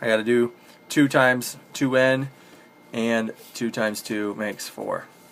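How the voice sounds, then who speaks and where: Noticeable background noise sits behind a man who talks at a very slow pace with fairly even intonation. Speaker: math teacher. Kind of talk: lecture. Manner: casual, filler words.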